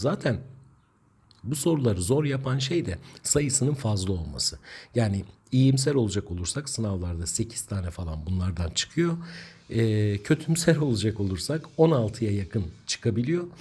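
Somewhat breathy, a man speaks with a dark, mellow tone at a medium pitch. His pace is fairly slow and his pitch swings very widely. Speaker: Turkish language teacher. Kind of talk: tutorial. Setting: online video lesson.

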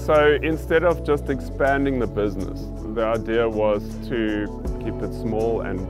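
A man speaks at a moderate pace. Clear music plays in the background, and the sound is dry with no echo. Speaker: winemaker and former architect. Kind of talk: interview answer. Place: farm machine.

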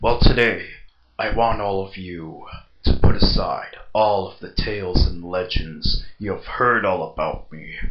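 The delivery is a put-on character voice at a fairly slow pace. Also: man, fairly low pitch for a man. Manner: solemn, commanding, inspirational.

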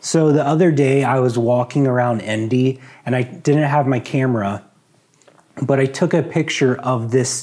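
Over a quiet background, a man with a dark, mellow tone speaks at a moderate pace. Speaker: vlogger. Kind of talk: casual vlog chat. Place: home room. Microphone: lapel.

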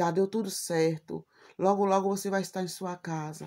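In a very clean recording with a silent background, a woman speaks at a moderate pace. Her tone is dark and mellow, and her intonation is flat and monotone. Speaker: YouTuber. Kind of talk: personal vlog.

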